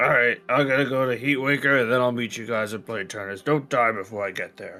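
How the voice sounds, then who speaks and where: A man does a raspy put-on character voice at a medium pitch and a fairly quick pace, with faint music in the background. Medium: actual play. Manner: blunt, impatient.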